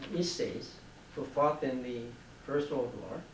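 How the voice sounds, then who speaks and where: A man with a fairly high pitch speaks at a very slow pace, keeping his intonation fairly even. Audible room echo and noticeable background noise fill the recording. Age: 70s. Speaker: war veteran. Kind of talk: oral history interview. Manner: halting.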